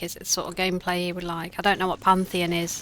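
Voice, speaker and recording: A woman speaks with a British accent at a fairly quick pace. Her pitch sits in the medium range. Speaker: game streamer. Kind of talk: casual chat. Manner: halting.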